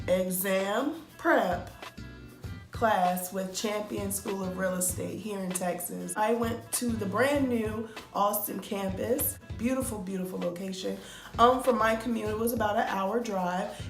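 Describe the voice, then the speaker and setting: A woman's upbeat voice at a medium pitch, with ordinary pitch variation and a fairly slow pace, over music in the background. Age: 20s. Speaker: real estate student. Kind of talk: casual talk to camera. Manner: chatty, upbeat.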